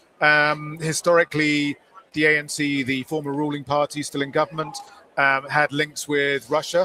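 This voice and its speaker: Delivered in a monotone, flat intonation, the voice has a dry, close sound with no echo and noticeable background noise. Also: man, fairly high pitch for a man, moderate pace. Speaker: tech journalist interviewer. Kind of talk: interview. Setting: exhibition floor.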